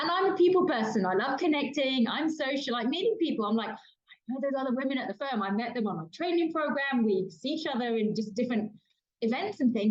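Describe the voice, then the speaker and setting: Speaking very fast in a British accent, a woman uses a high pitch with very wide swings. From London, England. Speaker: diversity and inclusion consultant and author. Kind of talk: podcast interview. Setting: kitchen.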